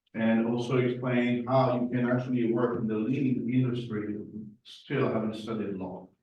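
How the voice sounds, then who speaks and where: A man's flat, monotone delivery with audible room echo. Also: medium pitch for a man, moderate pace. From Morocco, Spanish family, then France. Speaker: lean consultant. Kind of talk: presentation.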